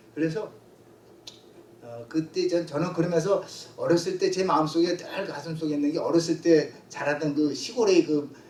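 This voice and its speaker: There is noticeable background noise behind a man's high-pitched voice. He keeps a moderate pace and fairly even intonation. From South Korea, raised in Seoul from childhood. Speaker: pastor. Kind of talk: testimony. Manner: halting, many fillers.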